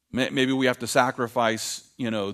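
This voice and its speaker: In a very clean recording with a silent background, a man talks at a moderate pace with monotone, flat intonation. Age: 50s. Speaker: pastor. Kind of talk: sermon.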